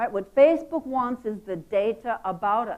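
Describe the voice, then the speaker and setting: A woman with an American accent on a very clean recording with a silent background. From United States. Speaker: marketing executive. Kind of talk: conference talk. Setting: stage with audience.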